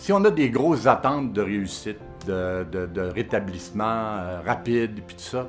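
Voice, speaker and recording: Music plays in the background as the speaker goes at a moderate pace with ordinary pitch variation. Pauses are long and frequent, and loudness swings widely. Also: man. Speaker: father of a son with schizophrenia. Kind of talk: testimonial interview answer. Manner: emotional, hesitant.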